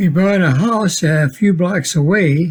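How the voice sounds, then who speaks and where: A man speaks with an Upper Midwest accent. His pitch varies in an ordinary way. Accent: Upper Midwest American. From Minnesota, Minneapolis. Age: 80s+. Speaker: retiree narrating family history. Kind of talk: home video narration.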